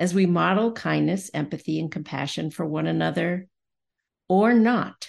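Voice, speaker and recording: At a fairly slow pace, a woman speaks with lively intonation and vocal fry. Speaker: podcast host. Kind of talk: podcast conversation, moderated discussion.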